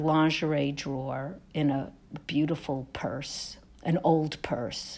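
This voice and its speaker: A woman with a very deep, low voice and an American accent talks at a very slow pace, her pitch rising and falling in an ordinary way. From Brooklyn, New York. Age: 60s. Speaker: author and actor. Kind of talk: interview. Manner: halting.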